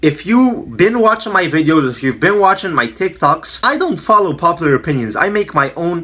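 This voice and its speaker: With a non-native accent, a man with high pitch and a bright, sharp, animated tone speaks at a moderate pace, his pitch making very wide swings. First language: not English. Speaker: MMA commentator YouTuber. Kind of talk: casual opinion monologue.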